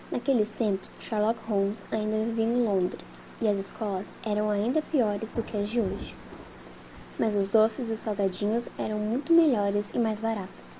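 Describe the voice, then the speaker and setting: Fairly high-pitched woman at a moderate pace, her intonation fairly even, with noticeable background noise behind her. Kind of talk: ASMR audiobook reading with rain sounds. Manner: soft-spoken, soothing, relaxing.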